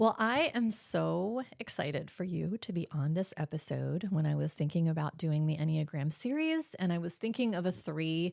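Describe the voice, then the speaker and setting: The speaker moves at a moderate pace with lively intonation and hardly any pauses. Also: woman, fairly low pitch for a woman. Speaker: podcast host. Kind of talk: casual interview.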